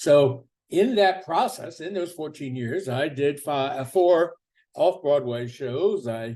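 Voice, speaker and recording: Very slowly, a man talks in a dark, mellow tone at a fairly high pitch, his intonation lively. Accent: American. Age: 70s. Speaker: political activist and commentator. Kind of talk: personal monologue.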